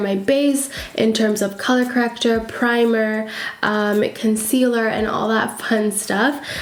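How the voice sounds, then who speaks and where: A woman talks at a fairly high pitch with monotone, flat intonation. Noticeable background noise and audible room echo fill the recording. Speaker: beauty YouTuber. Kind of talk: tutorial.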